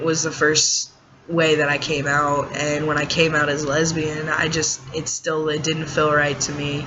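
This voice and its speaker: Audible room echo and noticeable background noise surround a man speaking fairly high in a monotone, flat way. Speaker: vlogger. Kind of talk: personal vlog. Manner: hesitant, many fillers.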